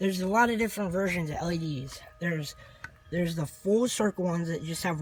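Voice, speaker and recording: A man speaks at a high pitch and a fairly quick pace. Noticeable background noise can be heard. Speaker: vlogger. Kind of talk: casual video walkthrough. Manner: halting.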